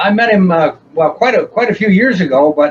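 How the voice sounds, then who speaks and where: A man talks at a high pitch. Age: 80s+. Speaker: steel guitar player in a country band. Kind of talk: interview. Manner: halting, repeats words.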